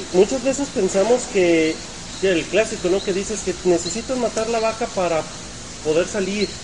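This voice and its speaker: A man's high-pitched voice at a moderate pace, with ordinary pitch variation over noticeable background noise. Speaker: podcast host and entrepreneurship teacher. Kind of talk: live podcast chat. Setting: hotel event, live streaming.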